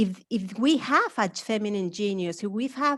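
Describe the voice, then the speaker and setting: A woman's fairly high pitch with ordinary pitch variation at a moderate pace over a quiet background. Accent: strong Spanish. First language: Spanish. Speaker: academic speaker. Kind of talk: lecture. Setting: webinar.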